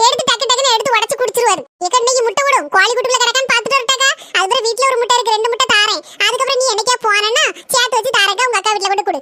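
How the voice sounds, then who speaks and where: In a cartoonish character voice, a woman speaks at a very fast pace with an extremely high pitch. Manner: chatty, complaining.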